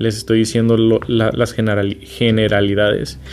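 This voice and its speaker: With noticeable background noise around him, a man talks at a fairly quick pace. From Mexico, Sinaloa (Culiacán). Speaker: podcast host. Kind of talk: casual advice monologue.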